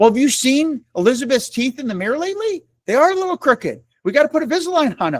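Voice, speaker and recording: With an American accent, a man races at a very fast pace with hardly any pauses, his extremely high pitch making very wide swings in an animated tone, on a very clean, dry, close recording with a silent background and no echo. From New York State, Syracuse. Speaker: real estate trainer. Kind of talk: training presentation.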